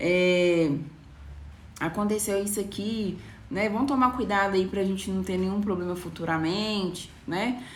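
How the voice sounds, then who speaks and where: A woman speaks at a medium pitch and a fairly slow pace, with audible echo from the room. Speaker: nail designer. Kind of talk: live stream talk to viewers. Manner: casual, conversational.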